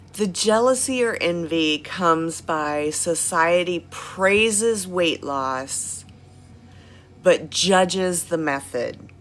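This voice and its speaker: Music plays behind a woman speaking at a very slow pace. Her fairly low voice has lively intonation. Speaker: health vlogger. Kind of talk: casual talk to viewers, live-stream style. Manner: animated.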